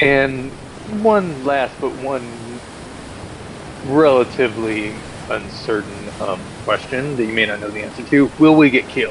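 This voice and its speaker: Over noticeable background noise, a man with an American accent speaks fairly slowly at a medium pitch with ordinary variation, leaving long, frequent pauses as his loudness swings widely. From Texas. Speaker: tabletop game player. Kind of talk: tabletop roleplay session.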